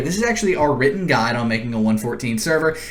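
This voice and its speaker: Amid audible room echo and noticeable background noise, a man with a fairly high pitch talks at a very fast pace with very wide pitch swings. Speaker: tech tutorial youtuber. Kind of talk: tutorial.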